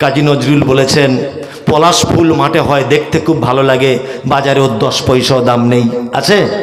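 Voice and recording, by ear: A man speaks at a moderate pace in a medium pitch with fairly even intonation, and the room echo is audible.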